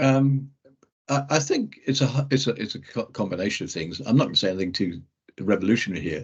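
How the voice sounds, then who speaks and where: A man with an English accent talks very fast at a medium pitch. His voice has vocal fry and lively intonation. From Scotland. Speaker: rugby referee. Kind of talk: interview. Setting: video call. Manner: halting, many false starts.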